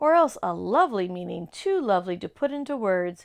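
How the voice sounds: The delivery here is a natural reading voice.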